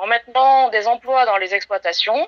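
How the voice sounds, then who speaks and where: Lively intonation marks a woman's speech. She keeps a moderate pace. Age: 40s. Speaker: rabbit farmer and industry association president. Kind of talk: prepared statement to camera. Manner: hesitant, frequent filler sounds.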